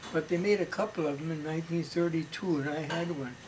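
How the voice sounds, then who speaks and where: Fairly quick speech from a man at a fairly high pitch, fairly even in intonation, with noticeable background noise. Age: 80s+. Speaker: storyteller. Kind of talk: family storytelling, reminiscing.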